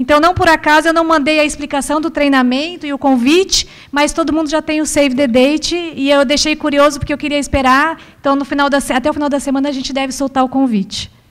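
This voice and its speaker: Delivery is very fast, with fairly even intonation. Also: woman, high pitch for a woman. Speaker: corporate training organizer. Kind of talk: corporate meeting Q&A.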